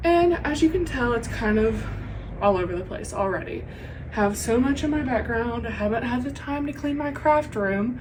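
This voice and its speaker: A woman with a Southern US accent speaks high in pitch with lively intonation at a moderate pace. Audible room echo and noticeable background noise accompany her. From US South. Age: 20s. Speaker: knitting podcaster. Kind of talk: casual chat. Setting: home craft room.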